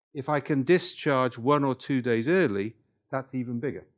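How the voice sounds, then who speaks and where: A man speaks with a Welsh accent and ordinary pitch variation. The recording is very clean with a silent background. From North Wales. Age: 70s. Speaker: workshop leader, professor. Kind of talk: lecture. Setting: workshop with live audience.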